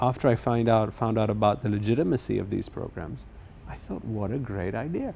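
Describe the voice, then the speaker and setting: The voice moves at a fairly quick pace with vocal fry. Its tone is dark and mellow. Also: man. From England. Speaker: property developer. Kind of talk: interview.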